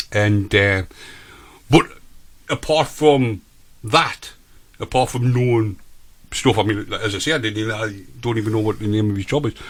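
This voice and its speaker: Recorded very cleanly against a silent background, a man with a northern English accent and a fairly low voice speaks at a moderate pace, with ordinary pitch variation and long, frequent pauses. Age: 50s. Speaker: radio host. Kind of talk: casual chat.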